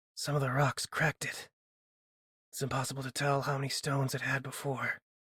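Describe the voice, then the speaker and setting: A man puts on a raspy character voice of medium pitch, talking at a fairly quick pace in a monotone, flat intonation. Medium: read story. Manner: dry, teasing humor.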